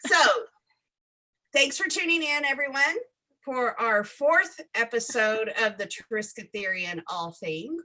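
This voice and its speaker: In an American accent, a woman speaks very slowly in a raised, projected voice that is high and bright, sharp in tone. Her pitch swings very widely. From US South. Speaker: live stream host. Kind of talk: casual chat. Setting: live stream.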